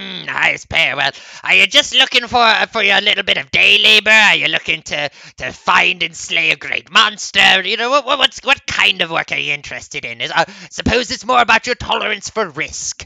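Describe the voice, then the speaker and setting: A put-on character voice at a fairly quick pace. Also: man, high pitch for a man. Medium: actual play. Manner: friendly, chatty.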